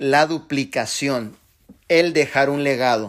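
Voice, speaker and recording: In an animated tone, a man speaks at a fairly high pitch with ordinary pitch variation. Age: 40s. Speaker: network marketing leader. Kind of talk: motivational talk.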